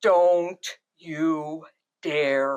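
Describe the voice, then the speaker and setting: Someone does a loud, put-on character voice at a middle pitch. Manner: slow, commanding.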